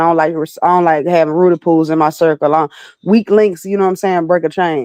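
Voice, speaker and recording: With a slight Southern accent, a woman speaks very fast at a fairly low pitch and fairly even intonation, her sound dry and close with no echo over a quiet background. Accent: slight southern twang. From Alabama, US South. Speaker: battle rapper and recording artist. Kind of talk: casual interview.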